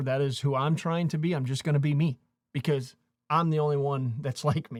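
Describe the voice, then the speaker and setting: An ordinary speaking voice moves at a fairly quick pace with fairly even intonation, captured in a very clean recording with a silent background. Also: man. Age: 40s. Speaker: YouTube creator and coach. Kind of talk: casual talk to camera. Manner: motivational, conversational.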